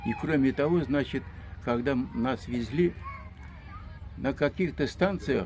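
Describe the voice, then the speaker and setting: A man with fairly high pitch and lively intonation, at a very slow pace. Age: 80s+. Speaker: deportation survivor. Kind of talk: testimony. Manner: halting.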